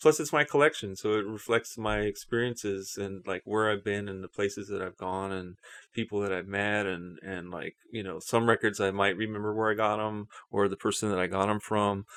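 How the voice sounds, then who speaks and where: A man with a fairly low voice talks at a fairly quick pace and in a fairly even tone, recorded dry and close with no echo over a quiet background. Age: 50s. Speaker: DJ and record producer. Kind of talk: casual interview. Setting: home studio. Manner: hesitant, with many fillers.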